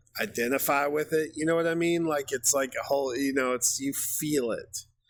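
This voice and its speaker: Loudness stays very even as a man talks at a fairly quick pace. His pitch is fairly high and his intonation fairly even. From US South. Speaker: music reaction youtuber. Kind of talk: casual reaction commentary. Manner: halting, many fillers.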